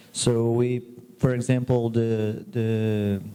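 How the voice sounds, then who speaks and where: The voice has a dark, mellow tone with a Portuguese accent. Its intonation stays flat and monotone. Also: man. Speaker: medical resident. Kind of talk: audience question. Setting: auditorium with audience. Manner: halting.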